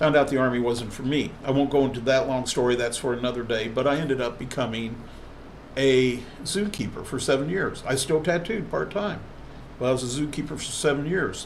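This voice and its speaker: With audible room echo behind him, a man with an American accent talks at a fairly quick pace and medium pitch. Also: ordinary pitch variation. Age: 60s. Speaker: tattoo artist and body piercer. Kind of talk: vlog monologue. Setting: live stream.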